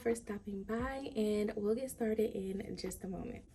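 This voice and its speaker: A woman's medium-pitched voice with ordinary pitch variation at a fairly slow pace, against noticeable background noise. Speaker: lifestyle vlogger. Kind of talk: casual product review vlog. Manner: soft-spoken.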